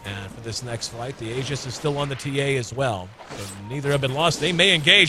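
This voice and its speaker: A loud man over noticeable background noise. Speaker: esports commentator. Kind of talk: live commentary. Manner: fast.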